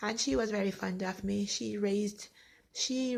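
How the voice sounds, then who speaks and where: A woman speaks at a fairly slow pace with vocal fry on a very clean recording with a silent background. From Jamaica, then England from age 12. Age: 40s. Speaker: vlogger telling her life story. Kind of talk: personal testimony. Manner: conversational, rambling with self-corrections.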